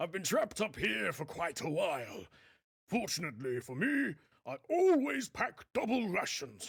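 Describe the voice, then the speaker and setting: Using a put-on character voice, a man talks at a moderate pace with a high pitch. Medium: video game. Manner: jovial.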